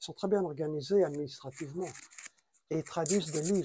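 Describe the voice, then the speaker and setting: This man's voice sits fairly high in pitch, with a dark, mellow tone and ordinary pitch variation. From France. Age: 80s+. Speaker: traveler and writer. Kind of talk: interview.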